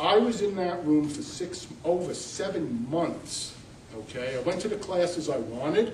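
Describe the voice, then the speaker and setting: A man's high-pitched voice with a New York accent, lively intonation and a fairly slow pace, plus audible room echo and noticeable background noise. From New York City. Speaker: college representative. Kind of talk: panel presentation.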